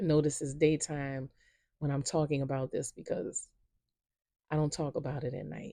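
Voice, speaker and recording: A woman speaks with a New Orleans accent in a very deep, low voice, her tone dark and mellow and her pitch varying in an ordinary way. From New Orleans, Louisiana. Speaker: storyteller. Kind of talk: personal storytelling. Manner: slow, unhurried.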